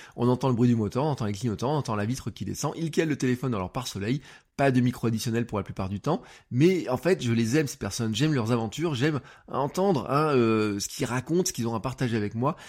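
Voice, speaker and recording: Over a silent background in a very clean recording, a man at medium pitch talks very fast in an animated tone, with ordinary pitch variation. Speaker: podcast coach. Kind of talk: tutorial. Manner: casual, many fillers.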